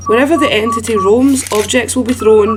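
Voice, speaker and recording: Speaking at a moderate pace with fairly even intonation, a woman with a fairly high pitch is heard over noticeable background noise. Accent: Scottish. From Scotland. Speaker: gaming content creator. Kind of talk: video game guide commentary. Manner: soft-spoken.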